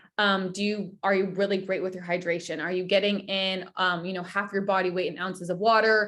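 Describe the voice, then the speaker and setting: This woman talks at a fairly quick pace in a medium pitch, with hardly any pauses. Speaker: wellness coach. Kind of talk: online workshop. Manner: animated.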